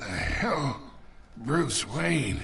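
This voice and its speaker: Putting on a character voice, a man sounds raspy at a fairly high pitch with very wide pitch swings. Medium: game stream. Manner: gruff, patronizing.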